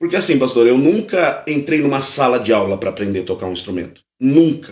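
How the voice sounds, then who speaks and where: A man's fairly high voice with vocal fry, very wide pitch swings, and a fairly quick pace. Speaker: pastor and worship musician. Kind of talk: testimony. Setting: podcast live stream. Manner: conversational.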